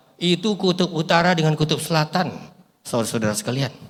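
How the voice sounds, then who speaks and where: A man speaks in an animated tone at a high pitch, with ordinary pitch variation. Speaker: pastor and bible translation consultant. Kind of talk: sermon.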